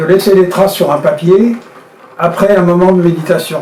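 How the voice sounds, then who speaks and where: In a room with audible echo and noticeable background noise, a man with a high pitch speaks at a fairly slow pace. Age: 70s. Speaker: engraver and painter. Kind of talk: interview testimony. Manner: hesitant, many fillers.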